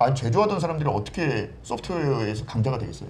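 Over light background noise, a somewhat breathy man talks with very wide pitch swings. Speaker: guest commentator. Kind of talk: talk show discussion on economics. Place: studio. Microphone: lapel.

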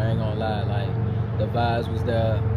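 Fairly slow speech over loud background noise. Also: man. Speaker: vlogger. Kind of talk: casual vlog chat. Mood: relaxed, reflective. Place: street. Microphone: lapel.

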